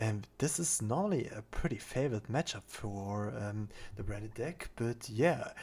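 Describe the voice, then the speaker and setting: With a non-native accent, a man of medium pitch and somewhat breathy voice speaks at a moderate pace with lively intonation, in a very clean recording with a silent background. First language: not English. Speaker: card game content creator. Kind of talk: gameplay replay commentary. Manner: halting, many fillers.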